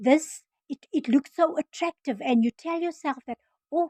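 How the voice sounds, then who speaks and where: A woman with a South African accent, her tone dark and mellow, at a fairly slow pace, the sound dry and close with no echo. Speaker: former nurse turned online business vlogger. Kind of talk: casual vlog introduction. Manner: halting, many fillers and restarts.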